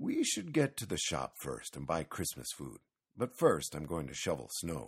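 A man puts on a character voice, extremely low with a husky, rough edge and very wide pitch swings. He speaks at a moderate pace in a very clean recording with a silent background.

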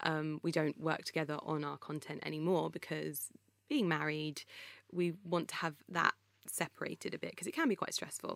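Vocal fry runs through a woman's very deep, low voice as she speaks at a moderate pace, the sound dry and close with no echo. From England. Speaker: blogger and influencer. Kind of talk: casual interview chat.

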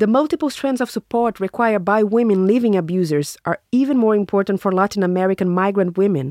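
Talking at a very fast pace with hardly any pauses, a woman uses lively intonation in a dry, close recording with no echo. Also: medium pitch for a woman, very even loudness. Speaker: podcast host and narrator. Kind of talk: scripted narration.

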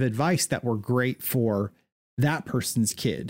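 An unremarkable speaking voice moves at a moderate pace, with a dry, close sound free of echo and a very clean recording over a silent background. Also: man. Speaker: podcast host. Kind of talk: casual chat.

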